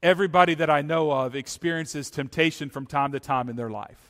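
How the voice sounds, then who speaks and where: On a very clean recording with a silent background, a man with an ordinary speaking voice and a fairly high pitch talks at a fairly quick pace with ordinary pitch variation. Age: 40s. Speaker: pastor. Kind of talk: sermon. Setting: church.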